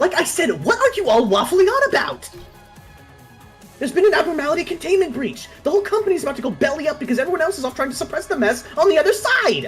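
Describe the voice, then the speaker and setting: A gruff, put-on character voice at an extremely high pitch races along at a very fast pace with very wide pitch swings, clear music playing in the background. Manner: exasperated, gruff.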